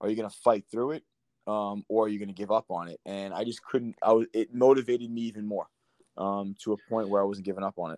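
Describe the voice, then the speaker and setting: A man with an American accent at a very fast pace, fairly low in pitch, fairly even in intonation, with big swings in loudness and a quiet background. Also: dry, close sound with no echo. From Long Island, New York. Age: 30s. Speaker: former professional soccer player. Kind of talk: casual interview.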